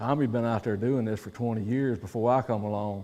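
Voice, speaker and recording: Speaking with a Southern US accent, a man uses a medium pitch with ordinary pitch variation. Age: 60s. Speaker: professional angler. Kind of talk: seminar talk. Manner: animated.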